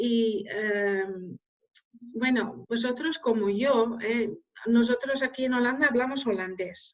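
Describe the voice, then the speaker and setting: At a very slow pace, a woman with a Dutch accent speaks in a fairly high pitch. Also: ordinary pitch variation. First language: Dutch (speaking Spanish). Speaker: scientific journal editor. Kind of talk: Q&A after a lecture. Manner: hesitant, many fillers.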